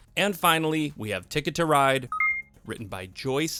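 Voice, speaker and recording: Noticeable background noise sits behind the speaker. A man talks at a fairly quick pace. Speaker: podcast host. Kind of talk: casual chat. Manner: fast.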